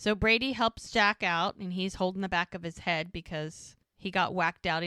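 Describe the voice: Plain reading aloud with ordinary pitch variation fills this clip.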